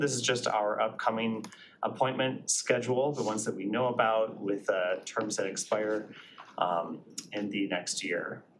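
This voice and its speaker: Medium-pitched male voice with ordinary pitch variation. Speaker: committee chair. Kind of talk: public meeting. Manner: fast.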